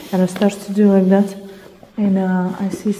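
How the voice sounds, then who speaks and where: A woman with a Russian accent. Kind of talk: casual chat.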